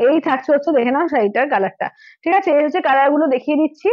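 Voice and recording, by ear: A woman talks fast in a high-pitched voice. Her intonation is lively.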